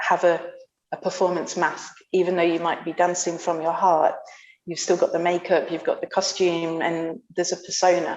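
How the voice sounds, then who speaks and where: A soft-spoken woman speaks at a moderate pace. Her pitch is fairly low. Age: 30s. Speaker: bellydance teacher and performer. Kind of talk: interview conversation. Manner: halting.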